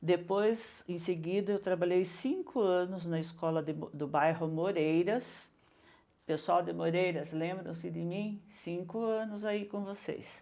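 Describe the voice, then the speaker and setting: A woman with a dark, mellow tone speaks in a fairly low pitch at a fairly slow pace, her intonation fairly even. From Brazil, São Paulo state (Mairinque since age 10). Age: 60s. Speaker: retired teacher and educator. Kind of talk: interview.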